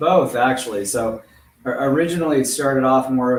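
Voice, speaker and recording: A man with an American accent and a plain, everyday voice, at a medium pitch and a moderate pace. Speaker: web comic artist. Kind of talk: podcast interview.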